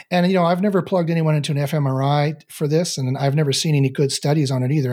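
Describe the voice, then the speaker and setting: A man with a Canadian accent speaks in a fairly high, somewhat breathy voice with a dark, mellow tone and ordinary pitch variation. The recording is very clean, with a silent background. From Canada. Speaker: neuroscientist and meditation teacher. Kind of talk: casual interview conversation. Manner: halting, many fillers and repetitions.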